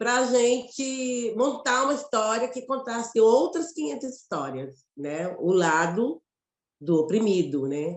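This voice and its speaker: Speaking with a Mato Grosso accent, a woman talks at a very slow pace in a fairly high pitch, her voice making very wide pitch swings. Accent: Mato Grosso Brazilian. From Brazil, Mato Grosso. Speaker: theatre actress and director. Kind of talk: interview conversation.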